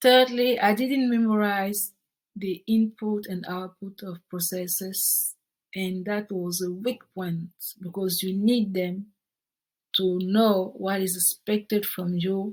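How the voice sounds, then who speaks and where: A woman speaks in a French accent at a medium pitch, somewhat breathy. Her pace is very slow and her intonation fairly even. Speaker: project management tutor. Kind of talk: tutorial.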